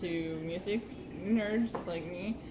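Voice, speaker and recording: A woman at medium pitch with fairly even intonation, with noticeable background noise and audible room echo. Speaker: amateur musician vlogger. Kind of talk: casual webcam vlog. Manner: hesitant with fillers. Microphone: camera far away, voice quiet.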